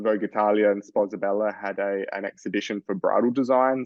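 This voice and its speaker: Speaking at a moderate pace, a man with an Australian accent uses a fairly low pitch. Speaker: fashion designer. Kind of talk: interview.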